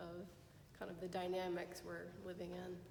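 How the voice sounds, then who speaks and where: A woman speaks in a fairly low voice with an American accent. Her delivery is flat and monotone, with audible room echo. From US South, Mississippi. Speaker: audience member. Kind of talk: audience question. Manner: hesitant, many fillers.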